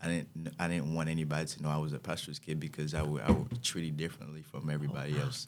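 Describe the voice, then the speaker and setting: A man with a Haitian accent talks at a very fast pace with hardly any pauses. His pitch is very deep and low, with ordinary variation. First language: Haitian Creole. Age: young. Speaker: student. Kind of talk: casual interview. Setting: studio. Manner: halting.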